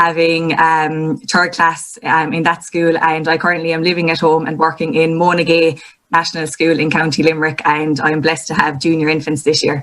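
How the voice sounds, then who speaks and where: With a Kerry accent, a woman speaks at a moderate pace. Her pitch is fairly low and her intonation monotone and flat. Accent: Irish, Kerry. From Ireland, North Kerry. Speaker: primary school teacher. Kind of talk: panel conversation.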